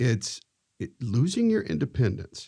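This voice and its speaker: A man's dark, mellow tone with vocal fry, at a fairly slow pace. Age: 60s. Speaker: podcast host. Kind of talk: podcast interview.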